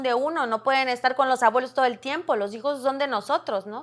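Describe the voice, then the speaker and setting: A woman's high-pitched voice at a fairly quick pace with fairly even intonation, in a very clean recording with a silent background. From Veracruz, Mexico. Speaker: radio announcer. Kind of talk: interview answer.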